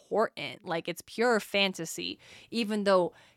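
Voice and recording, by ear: Pitch moves in an ordinary way as the text is read aloud in a natural voice.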